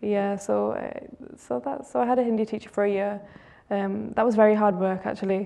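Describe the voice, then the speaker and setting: At a fairly quick pace, a woman with a British accent speaks at a medium pitch with ordinary pitch variation. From northern England. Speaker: reality TV contestant and beauty queen. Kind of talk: TV interview. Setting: TV studio.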